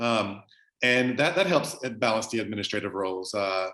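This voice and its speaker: A man with an American accent speaks at a moderate pace. The background is quiet. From US South, southwest Louisiana. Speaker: professor. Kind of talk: interview. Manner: halting, many fillers.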